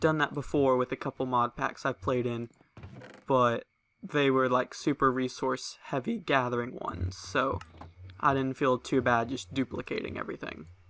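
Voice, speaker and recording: A soft-spoken voice with a bright, sharp tone moves at a moderate pace, with a dry, close sound and no echo. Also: man. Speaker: gaming video creator. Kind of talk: let's play commentary. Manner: casual.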